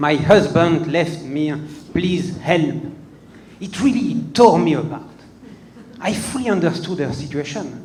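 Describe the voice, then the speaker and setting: Over noticeable background noise and audible room echo, a man with a French accent and a high pitch talks at a fairly slow pace with lively intonation and long, frequent pauses. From France. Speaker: comedian. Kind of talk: stand-up. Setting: stage with audience. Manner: hesitant, many fillers.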